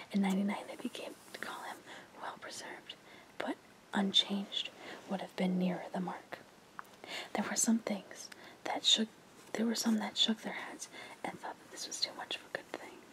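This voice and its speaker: Whispered speech broken by long, frequent pauses comes through noticeable background noise. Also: moderate pace. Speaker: ASMR creator. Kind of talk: sleep story reading. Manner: whispered, soft-spoken.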